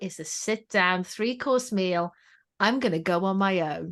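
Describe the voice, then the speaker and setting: A woman speaks with a Welsh accent at a fairly slow pace. Her pitch is medium, and the background is quiet. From Wales. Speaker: education trainer and channel swimmer. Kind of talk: podcast interview.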